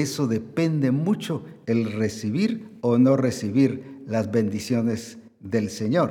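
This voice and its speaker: There is audible room echo around this man's dark, mellow tone. His intonation is lively. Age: 70s. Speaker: pastor. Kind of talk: sermon.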